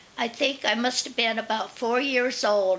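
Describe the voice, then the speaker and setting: Over noticeable background noise, a woman speaks with a fairly high pitch and fairly even intonation. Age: 90s. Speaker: senior storyteller. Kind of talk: reading aloud; casual interview talk. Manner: halting.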